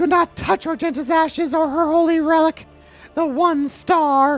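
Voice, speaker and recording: In a put-on character voice, a female-sounding speaker goes extremely high in pitch while faint music plays in the background. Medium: virtual streamer. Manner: earnest, reverent.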